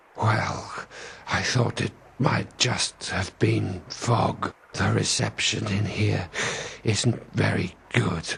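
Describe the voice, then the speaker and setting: A man puts on a character voice that is very deep and low. He speaks at a very slow pace. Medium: video game. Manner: chatty, deadpan.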